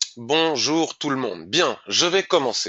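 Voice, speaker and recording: The man talks at a very slow pace. His pitch varies in an ordinary way. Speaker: trading educator. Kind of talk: live market review.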